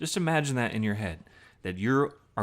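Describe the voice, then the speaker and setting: A man with a slight Southern US accent talks at a very fast pace with lively intonation on a very clean recording with a silent background. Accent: slight Southern twang. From US South, Southern Virginia. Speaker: gaming commentator, military veteran. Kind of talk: gameplay commentary with personal story. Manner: casual, hesitant with fillers.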